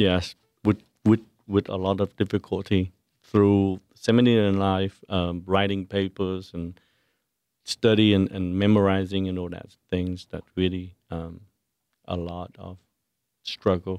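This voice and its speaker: A man with a Vietnamese accent speaks fairly slowly at a very deep, low pitch, his intonation monotone and flat. Long, frequent pauses and big swings in loudness mark his delivery, and the sound is dry and close with no echo. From Vietnam (Saigon). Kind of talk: radio interview. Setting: studio. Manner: halting.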